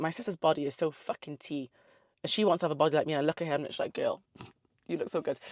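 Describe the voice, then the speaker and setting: In a South Wales accent, a woman speaks with an animated tone, fairly low pitch and ordinary pitch variation, the sound dry and close with no echo on a very clean recording with a silent background. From South Wales (Newport and the valleys), early years in the Caribbean. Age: 30s. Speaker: online fitness coach and social media creator. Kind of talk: casual Q&A vlog. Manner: animated, chatty.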